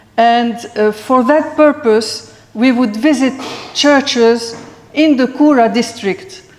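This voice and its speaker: A woman with a non-native accent speaks very slowly at a high pitch with ordinary variation and very even loudness, amid audible room echo and noticeable background noise. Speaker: historian and lecturer. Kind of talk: lecture. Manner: halting, many hesitations.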